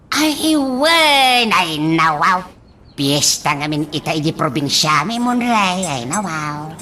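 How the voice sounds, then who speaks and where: A put-on character voice, female-sounding, at a middle pitch, with lively intonation and a very slow pace. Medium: audio drama. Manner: laughing, repeats "ay, nawaw".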